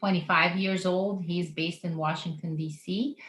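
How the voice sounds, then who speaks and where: A bright, sharp tone comes through, and its pitch moves in a normal range. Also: woman. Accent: Russian. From Russia (former Soviet Union). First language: Russian. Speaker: missionary organization co-founder. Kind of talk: podcast interview.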